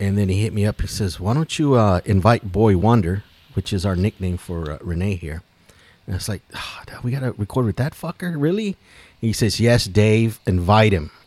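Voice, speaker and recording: A normal speaking voice at a moderate pace, with lively intonation and a dry, close sound with no echo. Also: man, fairly low pitch for a man. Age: 50s. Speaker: podcast co-host. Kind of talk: casual chat.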